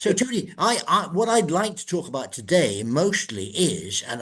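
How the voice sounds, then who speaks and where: A man with an English accent, very wide pitch swings and vocal fry. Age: old. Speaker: podcast host. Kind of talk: interview. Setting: recorded podcast. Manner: hesitant.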